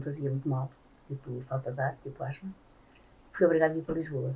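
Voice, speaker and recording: A woman's very deep, low voice, dark and mellow, somewhat breathy, with fairly even intonation, a fairly quick pace and light background noise. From Portugal, countryside near Caldas da Rainha. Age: 70s. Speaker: former domestic worker and migrant. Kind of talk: oral history interview answer. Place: home room.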